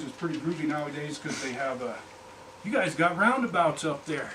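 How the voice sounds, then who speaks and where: A man speaks with ordinary pitch variation. Audible room echo and noticeable background noise come through. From Colorado. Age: 60s. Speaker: fly fishing professional. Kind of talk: presentation to audience. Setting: fly shop presentation with audience. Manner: conversational, interactive.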